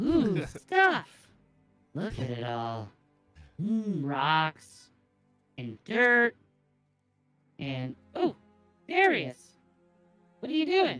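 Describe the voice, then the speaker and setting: A put-on character voice at middle pitch, very slow with long, frequent pauses, over faint background music. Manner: cheerful, naive.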